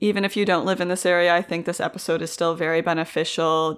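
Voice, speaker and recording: A woman with fairly even intonation on a very clean recording with a silent background. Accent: Canadian. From York Region, Ontario, Canada. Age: 20s. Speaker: podcast host. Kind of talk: interview; scripted intro and outro.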